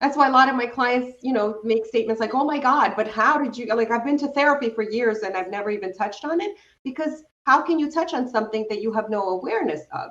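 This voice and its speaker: A woman's very fast, fairly high-pitched delivery with lively intonation. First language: not English. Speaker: self-discovery coach. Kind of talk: interview conversation.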